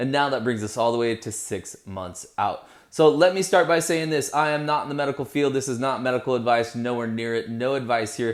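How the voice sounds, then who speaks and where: With an unremarkable speaking voice, a man at medium pitch talks at a fairly quick pace with hardly any pauses and ordinary pitch variation, on a very clean recording with a silent background. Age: 40s. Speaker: vlogger. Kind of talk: casual vlog monologue. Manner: conversational, with fillers.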